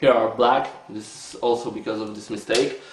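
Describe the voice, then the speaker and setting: Noticeable background noise and audible room echo surround a man speaking with a Polish accent. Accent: Polish accent, non-native English. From Poland. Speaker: board game reviewer. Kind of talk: video review. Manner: halting, many filler sounds.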